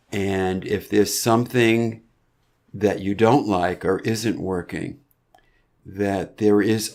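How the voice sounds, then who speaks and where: A man with an American accent speaks at a very slow pace, his fairly low voice keeping fairly even intonation. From US Northeast, Boston area. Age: 70s. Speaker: podcast guest, person in long-term addiction recovery. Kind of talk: interview conversation.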